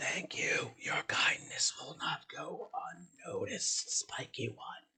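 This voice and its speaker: In a put-on character voice, the speaker whispers in a raspy way at a fairly slow pace. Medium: actual play.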